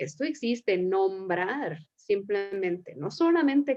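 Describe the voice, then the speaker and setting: Very slow delivery with lively intonation. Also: woman. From Mexico. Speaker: psychotherapist, series host. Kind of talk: casual conversation.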